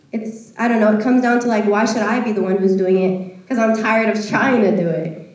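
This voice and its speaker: Noticeable background noise sits behind a woman with a fairly high pitch and fairly even intonation. She talks at a fairly quick pace with hardly any pauses. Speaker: student participant. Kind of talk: group discussion.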